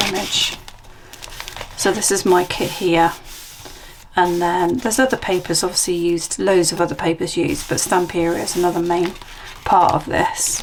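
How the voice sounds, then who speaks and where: A woman with a British accent speaks at a moderate pace, taking long, frequent pauses. Her intonation is fairly even, and there is noticeable background noise. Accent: UK. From UK. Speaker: junk journal crafter and seller. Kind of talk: craft flip-through video. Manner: casual, chatty.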